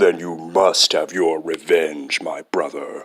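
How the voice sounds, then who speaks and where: Growling in a put-on character voice, a man talks at a fairly slow pace. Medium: fan dub. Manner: earnest, blunt.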